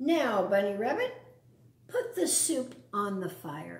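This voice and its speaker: Putting on a growling character voice at a medium pitch, a woman talks at a fairly slow pace with a slight echo. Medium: read story. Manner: gruff, snarling, bossy.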